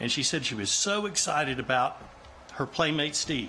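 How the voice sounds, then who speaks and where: Talking at a fairly quick pace with an American accent, a man uses an unremarkable speaking voice, fairly high in pitch, with lively intonation. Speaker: nephew giving a funeral eulogy. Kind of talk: funeral eulogy, spoken to an audience. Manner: sincere, conversational, with frequent filler words.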